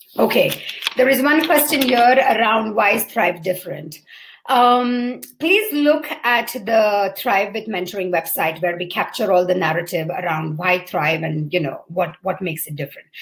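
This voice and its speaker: A woman with a medium pitch and a somewhat breathy voice talks at a moderate pace with very wide pitch swings. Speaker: mentoring program founder. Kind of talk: live Q&A talk. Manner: halting with fillers.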